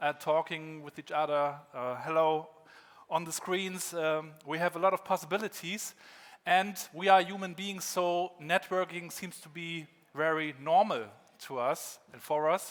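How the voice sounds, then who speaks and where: A man with a German accent speaks in a high pitch with fairly even intonation. His loudness swings widely. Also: fairly slow pace. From northern Germany (Rostock, former GDR). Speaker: keynote speaker. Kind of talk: conference keynote. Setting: stage with audience.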